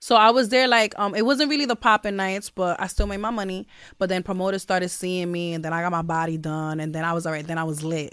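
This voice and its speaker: A woman with a New York accent talks at a very fast pace. Her medium pitch moves with lively intonation. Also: hardly any pauses, very clean recording, silent background. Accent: New York City, Brooklyn. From Brownsville, Brooklyn, New York. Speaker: rapper. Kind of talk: casual interview.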